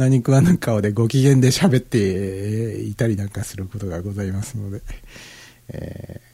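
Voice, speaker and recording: A man's somewhat breathy, dark and mellow voice, relaxed in tone, at a fairly slow pace. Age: 50s. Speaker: internet radio DJ. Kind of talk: casual music show talk. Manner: relaxed, filler-heavy.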